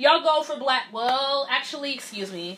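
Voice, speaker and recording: In a raised, projected voice, a woman speaks at a high pitch with lively intonation. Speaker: solo podcast host. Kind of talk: casual chat. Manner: loud; animated.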